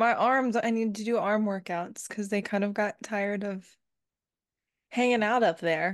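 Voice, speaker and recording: Here is a woman with a plain, everyday voice at a medium pitch. She speaks at a moderate pace with fairly even intonation against a quiet background. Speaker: podcast co-host.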